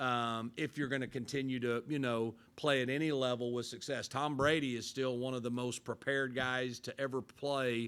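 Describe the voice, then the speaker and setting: A man speaks at a moderate pace with hardly any pauses and monotone, flat intonation in a very clean recording with a silent background. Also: medium pitch for a man. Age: 60s. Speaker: football coach. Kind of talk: press conference. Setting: press conference. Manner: halting.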